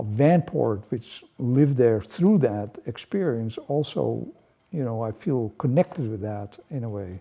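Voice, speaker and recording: A man at medium pitch with a Dutch accent speaks at a moderate pace in a dark, mellow tone. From Netherlands. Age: 80s+. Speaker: painter. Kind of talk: interview. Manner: halting.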